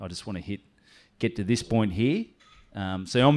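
A man with an Australian accent at a fairly quick pace, against a quiet background. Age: 30s. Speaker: comedian. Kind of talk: casual chat.

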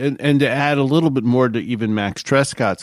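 An unremarkable speaking voice from a man, medium in pitch, moderate in pace, ordinary in pitch variation. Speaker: aviation podcast co-host. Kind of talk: casual chat.

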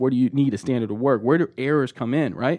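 With an American accent, a man talks at a fairly quick pace in an unremarkable speaking voice, his medium pitch showing ordinary pitch variation. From Texas, Austin. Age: 20s. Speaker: Air Force veteran and process improvement consultant. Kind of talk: casual interview.

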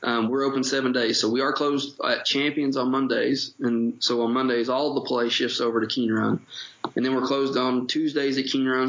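With an Appalachian accent, a man speaks at a medium pitch and a fairly quick pace in a monotone, flat intonation, with noticeable background noise. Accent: Appalachian Kentucky. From Eastern Kentucky, Appalachia. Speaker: golf club general manager. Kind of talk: casual interview.

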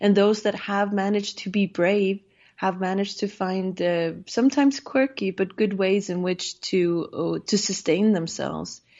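The speaker, with an Icelandic accent, goes at a fairly slow pace with fairly even intonation. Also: woman. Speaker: safety advisor and politician. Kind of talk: interview.

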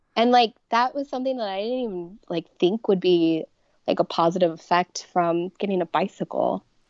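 At a moderate pace, a woman talks in an unremarkable speaking voice at medium pitch with ordinary pitch variation. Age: 30s. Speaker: person living with multiple sclerosis. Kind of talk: casual interview.

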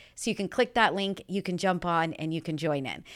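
Loud and with a bright, sharp tone, a woman speaks over a silent background in a very clean recording. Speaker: mortgage broker podcast host. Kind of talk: casual interview chat. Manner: loud talker.

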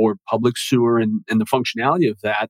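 A man with an unremarkable speaking voice at a medium pitch talks at a fairly quick pace, the sound dry and close with no echo. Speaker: real estate broker. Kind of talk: interview conversation.

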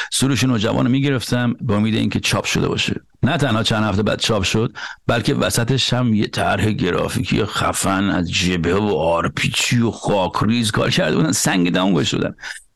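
This man has a plain, everyday voice, fairly low in pitch, moving at a moderate pace with very even loudness. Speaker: podcast host and journalist. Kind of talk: scripted narration; casual discussion.

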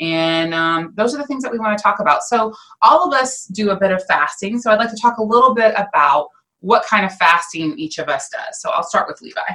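Bright and sharp in tone, a woman's fairly high voice moves in very wide pitch swings at a fairly quick pace. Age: 40s. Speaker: podcast host. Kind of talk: casual chat.

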